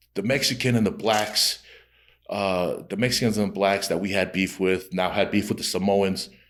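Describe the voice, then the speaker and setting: A man speaks at a moderate pace in a fairly low pitch with fairly even intonation. The recording is very clean, with a silent background. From Utah, Rose Park, Salt Lake City. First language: Tongan. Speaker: comedian. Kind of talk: casual interview chat. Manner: casual, halting with repetitions.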